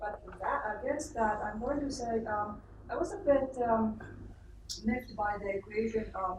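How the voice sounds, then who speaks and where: A woman's fairly high voice at a fairly slow pace, with audible room echo and noticeable background noise. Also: ordinary pitch variation. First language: not English. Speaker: audience member asking questions. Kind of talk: Q&A question. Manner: halting, many fillers.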